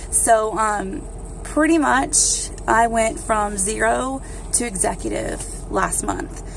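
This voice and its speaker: Room echo is audible and background noise noticeable. A woman speaks at a very slow pace. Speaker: direct sales distributor. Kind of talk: casual vlog talk. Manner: hesitant, many fillers.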